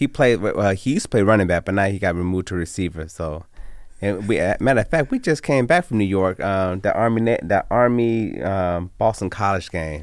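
An unremarkable speaking voice with an American accent carries ordinary pitch variation. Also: man, fairly low pitch for a man. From Las Vegas, Nevada (west side). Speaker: residential designer and barbershop owner. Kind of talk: radio interview.

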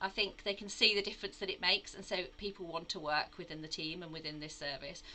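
A woman talks at a very fast pace with a slight Midlands accent. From English Midlands. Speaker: acute oncology nurse consultant. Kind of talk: casual interview conversation.

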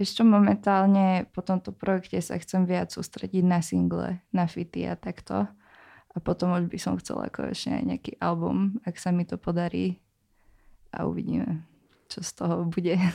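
A woman with a Slovak accent talks at a moderate pace. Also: very clean recording, silent background. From Slovakia, Bratislava. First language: Slovak (speaking Czech). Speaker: rapper. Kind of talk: casual chat.

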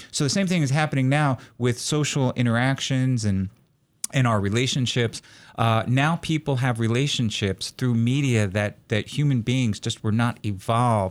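A man with an American accent and a normal speaking voice, medium in pitch, at a moderate pace with ordinary pitch variation and very even loudness, on a very clean recording with a silent background. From New York City area. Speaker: psychology professor. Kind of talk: interview, explanatory.

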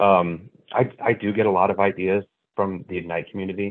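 In an American accent, a man speaks with a very deep, low pitch and flat, monotone intonation. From Northern California. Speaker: loan officer. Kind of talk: casual chat.

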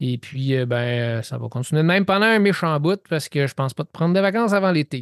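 A man at a fairly high pitch with lively intonation and a fairly quick pace, in a dry, close sound with no echo against a quiet background. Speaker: podcast host. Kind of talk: casual interview.

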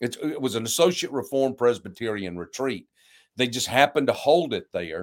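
Using a plain, everyday voice, a man talks at a fairly quick pace with lively intonation and a medium pitch, on a very clean recording with a silent background. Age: 60s. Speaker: pastor. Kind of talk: interview conversation.

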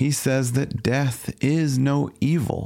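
A man speaks in a calm tone. His pace is very slow. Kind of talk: scripted reading aloud of a philosophical text, contemplative Lectio Divina style. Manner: measured, calm, meditative.

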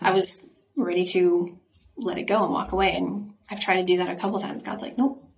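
A woman's normal speaking voice with an American accent, medium pitch, ordinary pitch variation and a fairly quick pace. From Idaho, US. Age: 30s. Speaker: actress. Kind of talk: casual interview chat.

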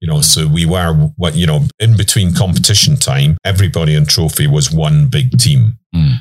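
A man with a British accent and a very deep, low pitch speaks with lively intonation and very even loudness. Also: moderate pace, hardly any pauses. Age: 60s. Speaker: overland expedition coordinator and trainer. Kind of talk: interview. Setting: inside a parked camper vehicle at an outdoor expo.

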